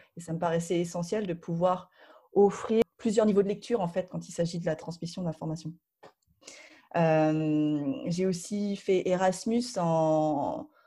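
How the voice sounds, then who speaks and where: A woman with a dark, mellow tone and a fairly low pitch speaks very slowly, her pitch varying in an ordinary way. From Paris region, France. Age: 30s. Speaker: board game publisher. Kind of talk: interview. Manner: halting, many fillers.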